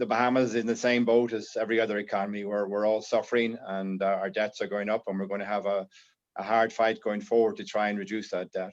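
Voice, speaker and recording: A man speaks in a fairly low pitch with an Irish accent, his intonation monotone and flat. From Ireland. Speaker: insurance broker and panelist. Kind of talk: panel discussion. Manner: halting, many fillers.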